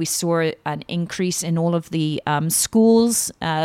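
A woman with a British accent speaks at a fairly low pitch with ordinary pitch variation. The recording is very clean and dry, close with no echo and a silent background. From Britain. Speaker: luxury real estate agent. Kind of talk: podcast interview.

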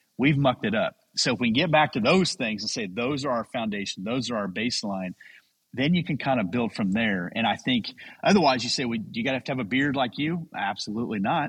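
With an ordinary speaking voice, a man of medium pitch talks at a fairly quick pace with lively intonation. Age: 40s. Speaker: pastor and men's podcast creator. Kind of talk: interview. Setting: video call.

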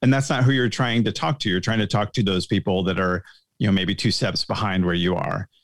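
At a fairly quick pace, a man with a plain, everyday voice talks with a fairly low pitch and ordinary pitch variation. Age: 40s. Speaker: guest, social media creator. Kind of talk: casual chat. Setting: video call.

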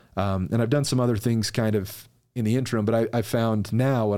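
A man speaks with an American accent at a moderate pace. The recording is very clean, its background silent. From Utah, US. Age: 30s. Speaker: entrepreneur and business coach. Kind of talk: casual interview.

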